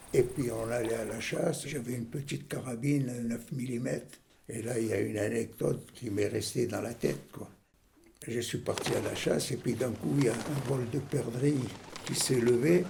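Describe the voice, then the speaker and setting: The voice shows ordinary pitch variation. Audible room echo and noticeable background noise are present. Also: man, medium pitch for a man, moderate pace. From Algeria. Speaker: senior interviewee. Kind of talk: personal anecdote.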